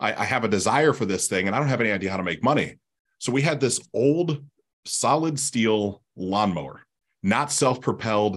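Against a quiet background, a man speaks with an American accent at a medium pitch. His intonation is lively and his pace moderate. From US Midwest, Columbus, Ohio. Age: 30s. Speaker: business acquisitions expert. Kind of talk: interview.

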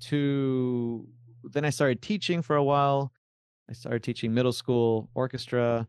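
A man speaks at a fairly slow pace with a medium pitch, fairly even intonation and very even loudness, in a dry, close sound with no echo. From Argentina (Buenos Aires), raised in Miami. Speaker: film composer. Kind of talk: interview.

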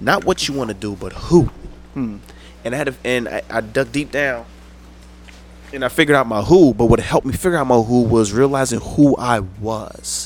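A man with an American accent and an unremarkable speaking voice, medium in pitch, with ordinary pitch variation at a moderate pace. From Paterson, New Jersey. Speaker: actor and poet. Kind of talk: casual chat.

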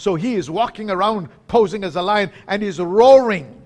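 Using a high pitch, a man talks in an animated tone. His pitch variation is ordinary. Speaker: preacher. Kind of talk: sermon. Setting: remote audience, people listening around the speaker. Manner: animated, call-and-response, rousing; emphatic, repeating phrases for impact.

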